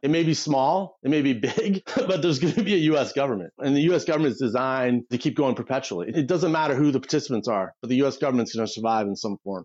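In a Midwestern American accent, a man speaks very fast with a fairly high pitch and lively intonation. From US Midwest, Detroit area. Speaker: political strategist. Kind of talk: interview conversation. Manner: animated.

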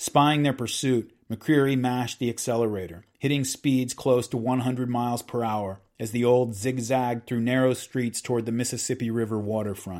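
Here is a man with an unremarkable speaking voice at medium pitch. He talks at a moderate pace with fairly even intonation and hardly any pauses. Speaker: podcast host reading a book aloud. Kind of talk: dramatic narration of a true-crime history, reading aloud from a book.

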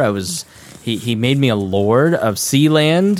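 With a Midwestern American accent, a man speaks at a fairly slow pace and medium pitch. His pitch swings very widely. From Indiana, US Midwest. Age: 30s. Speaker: podcast host. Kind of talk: casual chat.

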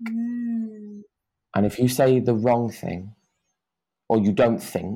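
The voice belongs to a man with a British accent. Behind him the background is silent, and the recording is very clean. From UK. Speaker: dance teacher. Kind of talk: podcast interview.

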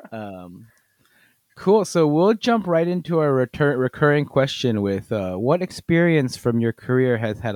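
In a dry, close sound with no echo, a man talks at a moderate pace with very wide pitch swings. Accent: American. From US, Korean American. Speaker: podcast host. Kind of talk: casual chat.

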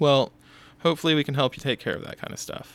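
The recording is very clean, with a silent background. The speaker has an American accent. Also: man. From Texas (Houston). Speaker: photographer and podcast host. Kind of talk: casual solo monologue. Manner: casual with many fillers (um, uh).

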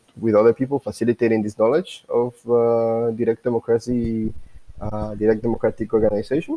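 At a fairly quick pace and medium pitch, a man talks in a Spanish accent. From Guatemala. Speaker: economic anthropologist. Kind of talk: interview. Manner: halting.

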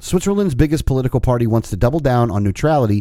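Speaking at a very fast pace, a man uses a medium pitch, a dark, mellow tone and lively intonation. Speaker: podcast co-host. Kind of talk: casual banter.

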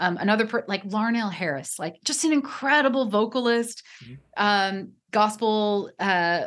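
Over a quiet background, a woman with a normal speaking voice and an American accent talks at a moderate pace, with a fairly high pitch and lively intonation. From US Pacific Northwest, near Portland. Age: 40s. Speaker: religion scholar and author. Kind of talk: interview conversation.

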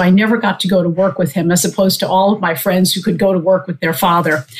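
Somewhat breathy, a woman speaks at a very fast pace. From US Northeast (Long Island, New York). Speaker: surgeon. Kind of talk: casual interview.

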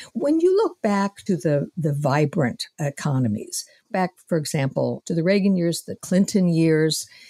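Recorded very cleanly against a silent background, a woman's fairly low, dark and mellow voice comes through somewhat breathy at a moderate pace, dry and close with no echo. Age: 70s. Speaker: panel regular and policy analyst. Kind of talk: political roundtable discussion.

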